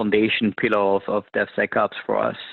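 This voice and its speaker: A French accent at a moderate pace. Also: man. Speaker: government technology officer. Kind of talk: webinar presentation. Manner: many filler words and restarts.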